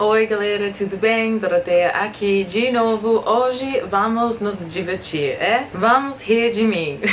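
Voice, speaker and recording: Through noticeable background noise and audible room echo, a woman speaks at a very slow pace with a fairly high pitch. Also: ordinary pitch variation, hardly any pauses. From USA. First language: English (speaking Portuguese). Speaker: vlogger. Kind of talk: casual vlog.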